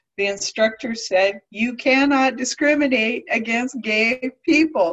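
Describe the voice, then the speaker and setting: An unremarkable speaking voice from a woman in an American accent, with lively intonation at a fairly slow pace. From California Central Valley. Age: 60s. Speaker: realtor and LGBTQ community activist. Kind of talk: oral history interview.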